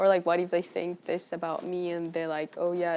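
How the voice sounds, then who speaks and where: Speaking fairly quickly with a Spanish accent, a woman has a fairly low pitch and a dark, mellow tone. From Colombia. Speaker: university student. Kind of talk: casual interview.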